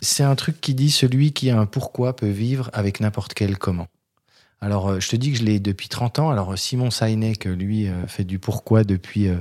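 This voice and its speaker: A man with an unremarkable speaking voice, fairly low in pitch, talks at a moderate pace with ordinary pitch variation, in a dry, close sound with no echo on a very clean recording with a silent background. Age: 50s. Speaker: HR recruiter and entrepreneur. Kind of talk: casual interview. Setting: in host's office.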